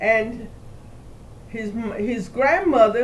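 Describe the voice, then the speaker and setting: At a very slow pace, a woman speaks at a fairly high pitch with ordinary pitch variation. Audible room echo and noticeable background noise surround her voice. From Cuba, Havana. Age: 80s+. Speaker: family elder recounting history. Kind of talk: family oral history interview.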